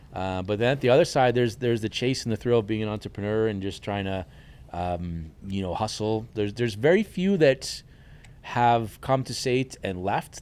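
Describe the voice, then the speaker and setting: At a fairly quick pace, a man with an American accent talks in a normal speaking voice, fairly low in pitch with ordinary variation, on a very clean recording with a silent background. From New York, Hudson Valley. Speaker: chef and culinary instructor. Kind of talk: casual chat.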